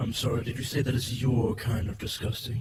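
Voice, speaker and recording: A man puts on a character voice at a medium pitch, talking at a fairly quick pace in a flat monotone with a clear echo. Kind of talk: formal archaic diction. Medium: audio drama. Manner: dry, mocking, mock-formal.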